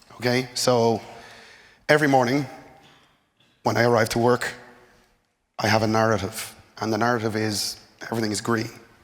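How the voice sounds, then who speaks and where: A man speaks at medium pitch and a moderate pace, with fairly even intonation. Audible room echo surrounds his voice. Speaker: network architect. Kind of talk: conference presentation.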